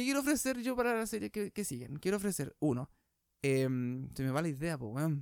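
Fairly quick speech from a man with very wide pitch swings, on a very clean recording with a silent background. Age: 20s. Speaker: youtuber. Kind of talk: casual chat. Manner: halting.

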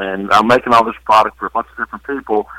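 A man's fairly low voice, bright and sharp in tone, with a dry, close sound and no echo. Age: 60s. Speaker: lubricant company owner. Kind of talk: interview.

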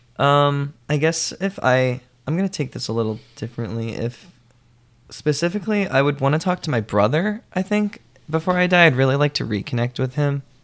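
A man with an American accent and an ordinary speaking voice, fairly high in pitch with lively intonation, at a fairly quick pace. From New Jersey, Middletown (Monmouth County). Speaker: sketch comedy writer and copy editor. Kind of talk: casual conversation.

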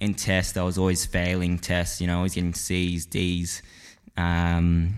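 A man with an Australian accent speaks at a fairly slow pace in a very deep, low voice, his loudness very even. His intonation is flat and monotone, and the recording is very clean with a silent background. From Perth, Western Australia. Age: young. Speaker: videographer and filmmaker. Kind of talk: casual interview. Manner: halting.

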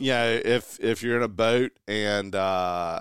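In a Southern US accent, a man with a fairly low pitch speaks at a very slow pace. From eastern North Carolina. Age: 40s. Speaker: golf guest. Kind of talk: casual chat.

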